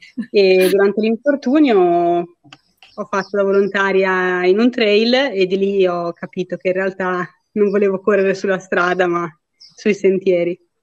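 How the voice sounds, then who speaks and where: A woman speaks in a normal speaking voice at a medium pitch, with fairly even intonation and a fairly slow pace. The sound is dry and close, with no echo. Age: 30s. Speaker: ultra trail runner. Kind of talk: casual interview.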